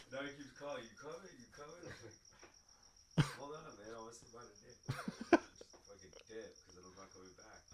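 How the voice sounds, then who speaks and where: A man's somewhat breathy, fairly high voice at a moderate pace, with lively intonation, big swings in loudness, hardly any pauses and audible room echo. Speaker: podcast guest. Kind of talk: casual chat.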